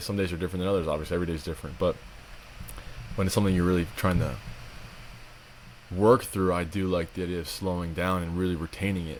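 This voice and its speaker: Speaking very fast, a man uses a very deep, low pitch with monotone, flat intonation. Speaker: podcast co-host. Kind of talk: casual chat. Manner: fast when passionate.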